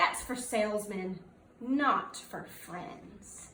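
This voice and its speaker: Using a gruff, put-on character voice at a medium pitch, a woman speaks at a very slow pace with a slight echo. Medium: read story.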